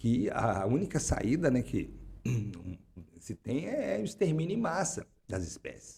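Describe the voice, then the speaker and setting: A man's dark, mellow tone with vocal fry and very wide pitch swings. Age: 60s. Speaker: political and social scientist, climate researcher. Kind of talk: interview. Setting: studio. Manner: halting, many repetitions.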